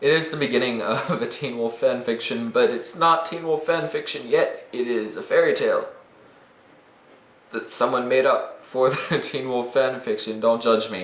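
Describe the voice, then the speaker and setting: Moderate pace from a man, with noticeable background noise. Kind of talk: casual talk to camera. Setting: echoey room.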